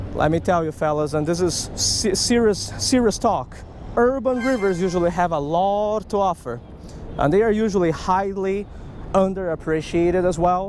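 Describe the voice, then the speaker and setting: A man's high-pitched voice at a moderate pace, ordinary pitch variation, dry sound with no echo, light background noise. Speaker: fishing vlogger. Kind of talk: casual vlog chat. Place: waterside. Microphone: phone near.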